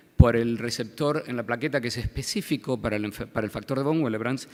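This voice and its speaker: A man talks with an Argentine accent at a medium pitch. His pitch variation is ordinary. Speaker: pediatric hematologist. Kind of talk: medical conference lecture. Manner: halting, many fillers and repetitions.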